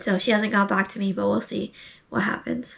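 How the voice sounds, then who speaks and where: Fairly even intonation at a moderate pace, in an American accent. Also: woman. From United States. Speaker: beginner voice actor, video creator. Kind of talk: casual vlog talk to camera. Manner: casual, with many fillers and self-corrections.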